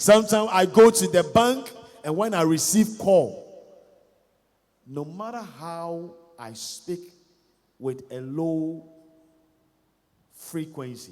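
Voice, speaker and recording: A man with a Ghanaian accent, a high pitch and lively intonation, at a very slow pace with long, frequent pauses, big swings in loudness and audible room echo. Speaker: pastor. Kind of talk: sermon. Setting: church.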